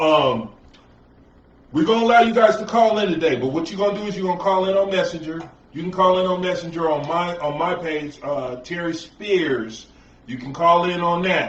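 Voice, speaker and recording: Noticeable background noise and audible room echo fill the clip. A man speaks with a high pitch and ordinary pitch variation. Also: moderate pace. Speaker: talk show host. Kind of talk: casual chat.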